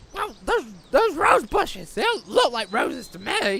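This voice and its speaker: In a cartoonish character voice, a man speaks at a moderate pace with an extremely high pitch and very wide pitch swings. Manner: crude, sweary.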